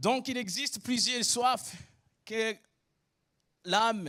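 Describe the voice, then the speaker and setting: A man with a high pitch, ordinary pitch variation, and a very slow pace. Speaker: preacher. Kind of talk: sermon.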